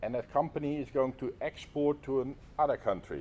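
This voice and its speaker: Someone with a Dutch accent speaks at a moderate pace. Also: man. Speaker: lecturer. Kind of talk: lecture. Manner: halting.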